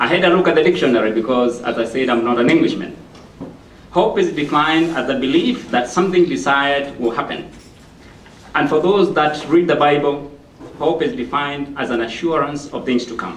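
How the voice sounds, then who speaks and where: With an African accent, the speaker moves at a fairly quick pace with ordinary pitch variation, against noticeable background noise and audible room echo. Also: man, fairly high pitch for a man. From Kenya. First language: not English. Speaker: motivational speaker. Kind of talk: public speech. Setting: library event with audience.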